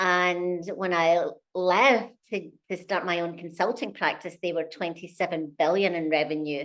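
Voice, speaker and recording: The speaker has a Scottish accent and ordinary pitch variation. The pace is fairly slow. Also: woman, fairly low pitch for a woman. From Scotland. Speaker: company CEO. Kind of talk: interview.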